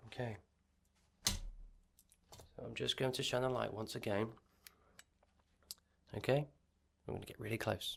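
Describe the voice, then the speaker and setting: A man speaks at a moderate pace with vocal fry and fairly even intonation, leaving long, frequent pauses. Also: medium pitch for a man. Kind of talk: ASMR medical roleplay. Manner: soft-spoken, whispered.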